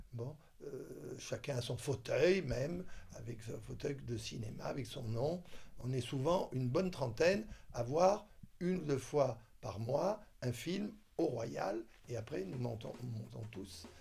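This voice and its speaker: A man's very slow, dark and mellow voice with vocal fry and very wide pitch swings. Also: medium pitch for a man. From southern France, Toulon. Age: 70s. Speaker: retired doctor and film enthusiast. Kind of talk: interview testimony. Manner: hesitant, many fillers.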